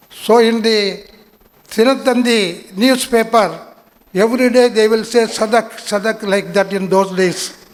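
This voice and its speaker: A man speaks with a Tamil accent in a high pitch. He keeps a fairly slow pace and fairly even intonation. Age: 80s+. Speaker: invited speaker at student induction. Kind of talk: speech to new students.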